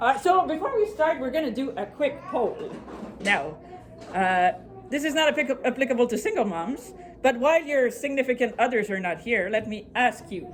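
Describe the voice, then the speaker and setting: A woman talks at a high pitch with very wide pitch swings, and noticeable background noise sits behind her. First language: French. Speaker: productivity speaker. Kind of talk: presentation to a live audience. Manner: fast.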